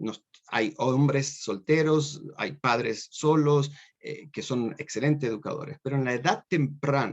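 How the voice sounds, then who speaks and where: A man talks at a fairly slow pace in a fairly high pitch, with ordinary pitch variation. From Argentina (Córdoba, Buenos Aires suburbs). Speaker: university professor. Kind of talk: lecture. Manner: animated.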